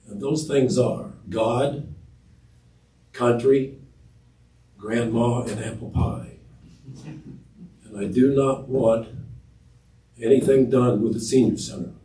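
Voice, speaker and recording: Breathy and in an American accent, the voice moves at a very slow pace with long, frequent pauses, ordinary pitch variation, big swings in loudness, and audible room echo. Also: man, medium pitch for a man. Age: 80s+. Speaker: resident speaking at public forum. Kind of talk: public comment at council meeting. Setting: city council meeting. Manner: quiet. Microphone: too far from microphone at first.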